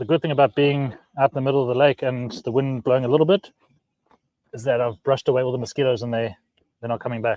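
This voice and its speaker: Speaking very fast yet with long, frequent pauses, a man with a South African accent keeps a medium pitch and fairly even intonation. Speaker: fishing channel host. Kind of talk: casual chat. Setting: outdoors on a boat on a lake. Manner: hesitant, many fillers.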